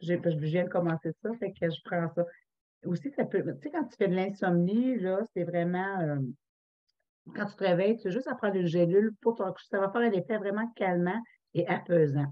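In a quiet background, a woman talks at a medium pitch with ordinary pitch variation and an ordinary speaking voice. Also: moderate pace. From Quebec. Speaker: essential oils consultant; presenter. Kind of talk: online workshop presentation. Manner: casual. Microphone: webcam.

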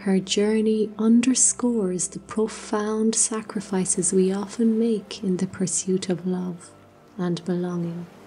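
At a fairly slow pace, a woman talks in a normal speaking voice, medium in pitch with fairly even intonation. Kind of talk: sleep story. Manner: soft-spoken, slow.

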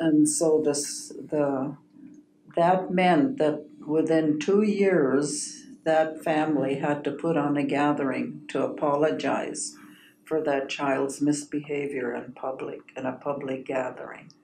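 Speaking at a very slow pace, a woman with a very deep, low pitch and a dark, mellow tone keeps a fairly even intonation over light background noise and audible room echo. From Okanagan, British Columbia, Canada; British Columbia, Canada. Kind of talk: storytelling interview. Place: meeting room. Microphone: camera far.

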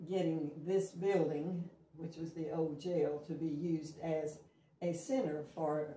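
With fairly even intonation, the voice carries audible room echo over light background noise. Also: woman. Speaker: interviewee. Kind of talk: interview answer. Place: kitchen. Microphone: camera far.

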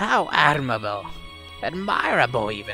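Over clear background music, a man puts on a character voice at a medium pitch. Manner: sweetly menacing, taunting.

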